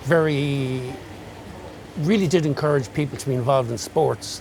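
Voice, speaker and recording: Over noticeable background noise, a man with an Irish accent talks at a moderate pace in a fairly high pitch. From Galway, Ireland. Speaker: retired electrician. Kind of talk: interview answer.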